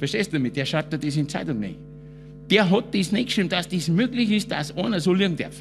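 A man's fairly quick speech over faint music in the background. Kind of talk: comic stage monologue. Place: garage. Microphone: handheld.

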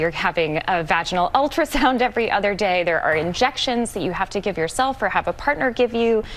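Lively intonation marks this woman's speech, which moves at a fairly quick pace. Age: 30s. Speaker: magazine editor; guest. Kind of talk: TV panel interview. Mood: upbeat, warm. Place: studio.

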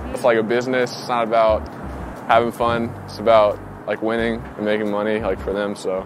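In an American accent, a man talks at a fairly quick pace with fairly even intonation. The sound is dry with no echo, and faint music plays in the background. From US South, Raleigh, North Carolina; North Carolina. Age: 20s. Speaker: college basketball player. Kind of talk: casual interview. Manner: casual, filler-heavy. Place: street.

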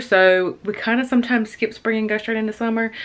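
Talking fairly quickly, a woman keeps her intonation fairly even. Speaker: lifestyle vlogger. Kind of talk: sponsored vlog chat. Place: kitchen. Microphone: phone near.

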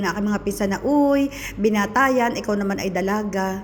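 A woman speaks in an animated tone with ordinary pitch variation. Noticeable background noise is present. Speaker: vlogger. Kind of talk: casual storytelling vlog.

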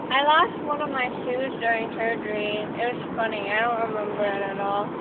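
Loud background noise sits behind speech delivered at a moderate pace. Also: woman, ordinary pitch variation. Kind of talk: drowsy casual chat. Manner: drowsy, slurred post-surgery voice. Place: car. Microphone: phone near.

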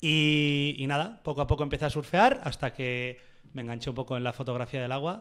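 Against a quiet background, a man with a fairly high pitch talks at a fairly quick pace with ordinary pitch variation. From Basque Country, Oyarzun; Basque Country. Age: 20s. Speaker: surf photographer; podcast guest. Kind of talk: casual interview chat. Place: studio. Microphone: studio mic.

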